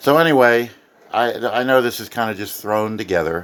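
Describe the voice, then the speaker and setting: Noticeable background noise sits behind a man speaking fairly slowly. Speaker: amateur radio hobbyist and author. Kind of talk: casual home video tour. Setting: home office, recorded on tablet.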